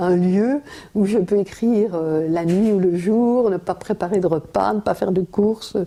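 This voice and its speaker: Dark, mellow tone and fairly even intonation in a woman's voice. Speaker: writer and former teacher. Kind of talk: interview answer.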